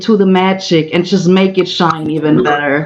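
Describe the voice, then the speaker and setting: A woman with a German accent talks at a moderate pace against noticeable background noise. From Germany. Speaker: event co-host. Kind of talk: casual chat. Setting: virtual livestream.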